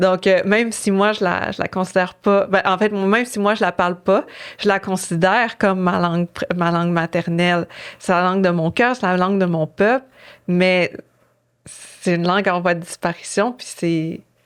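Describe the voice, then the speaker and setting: At a moderate pace, a woman speaks with a medium pitch. Her intonation is fairly even. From Innu community, Quebec. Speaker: author. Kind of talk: interview. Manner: halting, many fillers.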